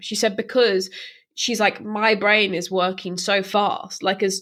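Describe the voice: The tone is fairly bright. Pitch moves up and down in an ordinary way. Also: woman.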